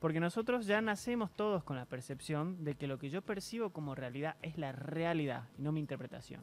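A man talks at a fairly quick pace with hardly any pauses. His fairly high pitch carries lively intonation. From Argentina. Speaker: interview guest. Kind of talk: TV interview. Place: studio. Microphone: studio mic.

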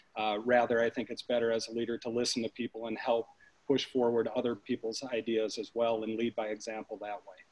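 A man with an American accent, fairly quick and monotone, with flat intonation. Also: dry, close sound with no echo. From Minnesota, Maplewood and North St. Paul. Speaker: physician and city council candidate. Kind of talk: candidate forum answers.

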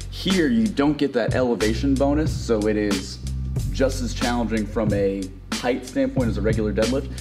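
Clear music in the background behind a man, moderate pace. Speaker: gym coach. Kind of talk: tutorial. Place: gym.

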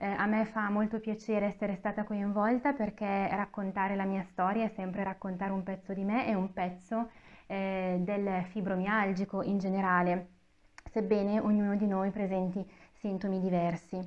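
Her voice sits at a medium pitch, and this woman talks with a monotone, flat intonation. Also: moderate pace. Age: 30s. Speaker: author with fibromyalgia. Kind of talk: interview. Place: meeting room. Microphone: lapel.

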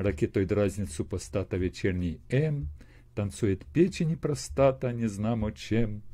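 A man talks fairly slowly with a fairly low, dark, mellow tone and some breathiness. His pitch swings very widely. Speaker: video chat blogger. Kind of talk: casual chat with poetry reading. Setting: video call via chat roulette. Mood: wry, humorous. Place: home room. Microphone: earbuds.

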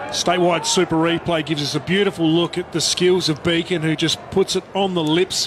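In an Australian accent, a man with a high pitch speaks at a fairly quick pace in an animated, enthusiastic tone against noticeable background noise. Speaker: sports commentator. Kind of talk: live sports commentary. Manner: animated, enthusiastic, punchy calling.

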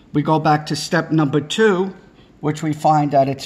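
A man with fairly high pitch sounds somewhat breathy, his intonation fairly even. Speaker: electrical trade instructor. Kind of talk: tutorial. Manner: informal, repetitive. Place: home room. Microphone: phone near.

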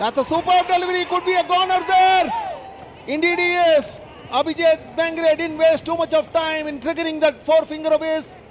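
Amid noticeable background noise, a man with an Indian accent speaks at an extremely high pitch with fairly even intonation. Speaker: cricket commentator. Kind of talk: live sports commentary. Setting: stadium broadcast commentary. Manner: formal, polished English with cricket clichés.

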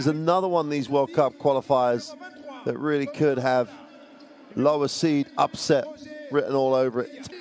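With noticeable background noise, a man in a fairly high pitch talks at a moderate pace in an enthusiastic tone, leaving long, frequent pauses. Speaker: basketball commentator. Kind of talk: live play-by-play game commentary over highlights. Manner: enthusiastic, praising the play.

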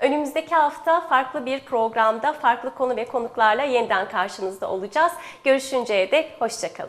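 Her high-pitched voice runs on with hardly any pauses. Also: ordinary pitch variation, moderate pace. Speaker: TV program host; TV show host. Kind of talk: TV health interview. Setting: studio. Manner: formal. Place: studio. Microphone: lapel.

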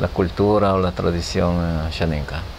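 A man's very deep, low voice at a fairly slow pace over light background noise. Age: 60s. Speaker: healer. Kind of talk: interview. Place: home room.

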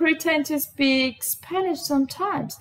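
A woman speaks in a raised, projected voice at a high pitch. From Brazil. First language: Portuguese. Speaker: vlogger. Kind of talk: casual talk to camera. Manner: chatty, informal. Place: home room. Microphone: webcam.

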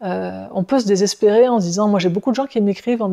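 The tone is dark and mellow, at a fairly quick pace. The background is quiet. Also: woman. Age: 50s. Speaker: personal development teacher; workshop facilitator. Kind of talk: casual video monologue. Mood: calm, thoughtful. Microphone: lapel.

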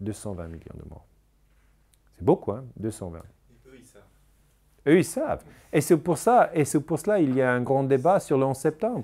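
His voice dark and mellow with vocal fry, a man speaks fairly slowly with long, frequent pauses, big swings in loudness and very wide pitch swings. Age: 40s. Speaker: historian; interviewee. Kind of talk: interview. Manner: halting. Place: home room.

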